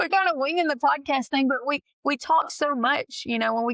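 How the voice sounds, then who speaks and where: A woman speaks very fast with an East Texas accent, her tone bright and sharp, in a dry, close sound with no echo. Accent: thick East Texas. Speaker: nurse practitioner, podcast co-host. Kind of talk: casual chat.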